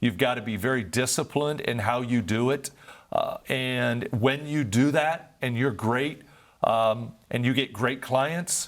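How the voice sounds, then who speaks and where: Here is a man with an American accent and an ordinary speaking voice. His medium pitch shows ordinary variation at a fairly slow pace. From Northeast Ohio. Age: 60s. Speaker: nonprofit founder and former business executive. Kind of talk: interview.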